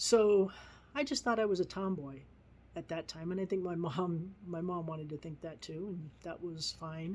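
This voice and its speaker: A woman speaks in a plain, everyday voice at a moderate pace. Her pitch is fairly low, with ordinary pitch variation. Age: 60s. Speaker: vlogger. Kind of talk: personal testimony.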